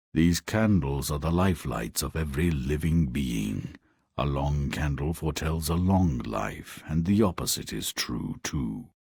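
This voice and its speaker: Putting on a character voice, a man talks with lively intonation at a very deep, low pitch. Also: moderate pace. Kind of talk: video game character dialogue.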